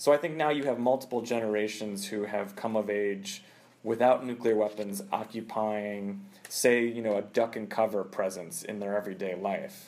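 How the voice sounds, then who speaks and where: A man at fairly low pitch, with fairly even intonation and a moderate pace. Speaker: journalist and nuclear security expert. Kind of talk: interview. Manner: hesitant, with fillers and repetitions.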